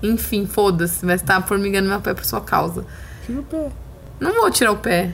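Noticeable background noise accompanies a woman who speaks at a moderate speed. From rural Brazil (interior, caipira). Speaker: podcast host. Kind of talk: casual chat. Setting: at home, sitting on a bed. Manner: animated; shrill at times.

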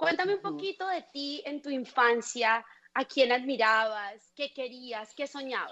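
A woman raises and projects her high-pitched voice with a bright, sharp tone. She speaks at a fairly slow pace with lively intonation. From Colombia. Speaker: podcast host. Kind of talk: interview.

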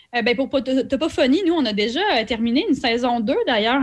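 This is a woman with a normal speaking voice. Her intonation is lively. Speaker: cultural events producer. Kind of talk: radio interview.

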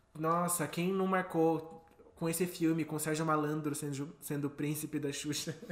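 Over noticeable background noise, a man speaks at a fairly high pitch with monotone, flat intonation. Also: moderate pace. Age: 20s. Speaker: podcast co-host. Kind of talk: casual chat.

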